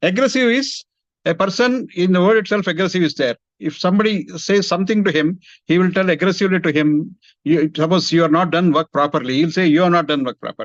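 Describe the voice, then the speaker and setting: A man with an Indian accent speaks at a fairly quick pace in a high voice, with ordinary pitch variation, over a quiet background in a dry, close sound with no echo. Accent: Indian English, Telugu. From India, Hyderabad. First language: Telugu. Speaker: engineering industry executive. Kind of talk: career talk to students.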